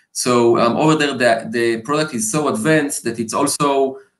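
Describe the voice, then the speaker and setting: A man speaks at medium pitch with a non-native accent. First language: not English. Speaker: marketing executive. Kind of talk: interview. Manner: hesitant, many fillers.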